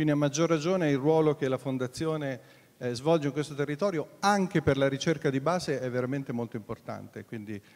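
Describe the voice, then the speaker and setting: A man moves through his words at a fairly quick pace, his pitch varying in an ordinary way. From Italy. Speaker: foundation president and moderator; moderator. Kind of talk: event introduction and moderation. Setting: hall with live audience. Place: hall. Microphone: handheld.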